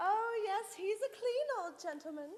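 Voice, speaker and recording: A squeaky, put-on character voice with lively intonation at a moderate pace. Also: woman. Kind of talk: comic operetta stage acting. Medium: stage play.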